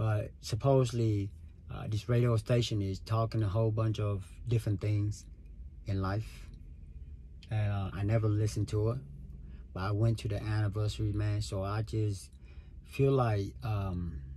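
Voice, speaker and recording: Taking long, frequent pauses, a man speaks at a moderate pace in a fairly low pitch, his somewhat breathy voice dark and mellow in tone, with ordinary pitch variation. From Vietnam. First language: Vietnamese. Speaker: podcaster. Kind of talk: casual monologue. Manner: casual, filler-heavy.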